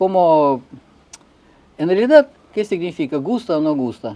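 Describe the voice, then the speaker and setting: With a Russian accent, a man speaks in a fairly high pitch and a dark, mellow tone, using ordinary pitch variation. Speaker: figure skater and coach. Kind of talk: interview. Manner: halting.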